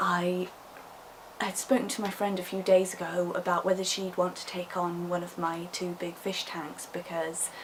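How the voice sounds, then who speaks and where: A fairly low-pitched woman's voice with a British accent at a fairly slow pace, over noticeable background noise. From England. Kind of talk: casual vlog talk to camera.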